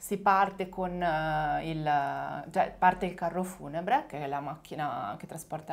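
A woman with an unremarkable speaking voice talks at a fairly slow pace, her fairly low pitch showing ordinary pitch variation. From small village in northern Italy. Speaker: Italian teacher. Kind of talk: casual chat.

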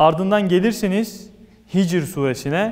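The man's pitch varies in an ordinary way, and his pace is moderate. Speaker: religious talk host. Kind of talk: sermon. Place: church. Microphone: lapel.

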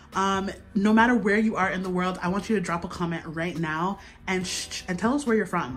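A woman at a moderate pace with ordinary pitch variation, with faint music in the background. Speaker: host filming her father. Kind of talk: casual vlog chat. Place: kitchen.

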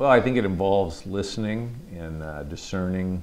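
At a moderate pace, a man speaks with an American accent. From Michigan (Midland); Michigan. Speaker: congressman. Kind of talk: interview. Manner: halting, many fillers. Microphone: lapel.

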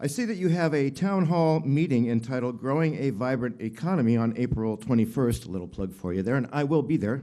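With an American accent, a man speaks at a fairly quick pace with hardly any pauses, in a dark, mellow tone of medium pitch and lively intonation. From Oregon, Clackamas County. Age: 60s. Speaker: local business owner testifying. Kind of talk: public testimony. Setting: county board meeting room.

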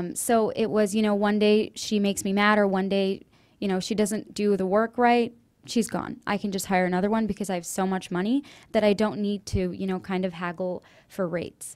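At a fairly quick pace, a woman with an American accent talks with fairly even intonation. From US, Indian Marathi-speaking family. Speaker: undergraduate student presenter; presenter. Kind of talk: student presentation. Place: classroom. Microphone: podium.

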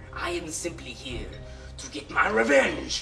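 The speaker uses a put-on character voice at a moderate pace. Clear music plays in the background. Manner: villainous, vengeful.

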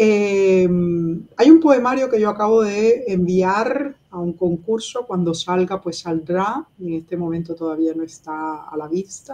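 A woman speaks at a fairly slow pace, her intonation lively and her loudness swinging widely. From Cuba. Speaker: writer and activist; interviewee. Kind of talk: interview. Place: home room. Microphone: webcam.

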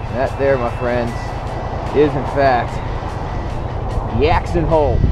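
A man at a fairly slow pace, dry sound with no echo, music in the background. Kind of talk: casual vlog chat. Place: motorbike. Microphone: helmet.

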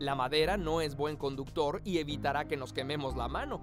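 A man is talking, neither fast nor slow. Behind him, music is playing. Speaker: voice-over narrator. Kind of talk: educational narration.

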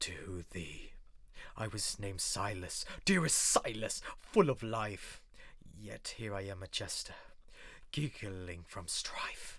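A man's put-on character voice, sing-song and at a fairly slow pace. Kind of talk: horror verse monologue. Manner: gleeful, menacing, singsong.

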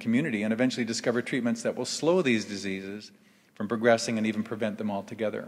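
A man talks at a very fast pace, his pitch varying in an ordinary way, against a quiet background. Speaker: event host introducing speakers. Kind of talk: formal introduction speech. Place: stage. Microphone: podium.

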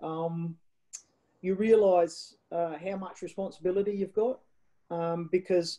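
A woman with an Australian accent speaks at a fairly slow pace and a fairly low pitch, her intonation fairly even. Her tone is dark and mellow, set against a quiet background. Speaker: wine ambassador and storyteller; storyteller. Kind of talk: interview answer. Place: home room. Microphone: video call.

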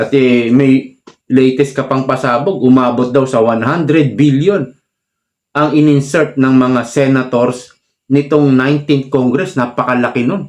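At a fairly slow pace, a man with a medium pitch speaks at a very even loudness. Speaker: political commentary vlogger. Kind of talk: political commentary monologue. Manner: animated.

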